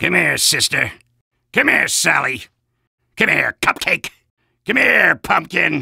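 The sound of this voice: Putting on a character voice, a man speaks slowly at a fairly high pitch with big pitch swings, a bright, sharp tone, a husky, rough edge and vocal fry.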